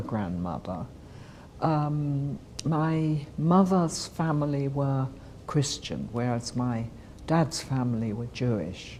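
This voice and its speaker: This woman's voice is very deep and low. She speaks at a very slow pace. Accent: British. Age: 70s. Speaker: Holocaust survivor. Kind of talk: testimony.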